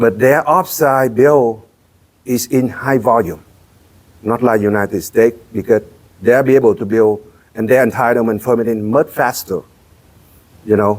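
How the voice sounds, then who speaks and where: This man speaks with a Vietnamese accent at a moderate pace. He takes long, frequent pauses. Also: medium pitch for a man, ordinary pitch variation. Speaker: real estate entrepreneur. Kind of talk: interview. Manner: halting.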